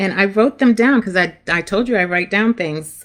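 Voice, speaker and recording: A woman with a Brooklyn accent, fairly slow with lively intonation, on a very clean recording with a silent background. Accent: New York, Brooklyn. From Brooklyn, New York, Jamaican family. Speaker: career coach. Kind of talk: live stream talk.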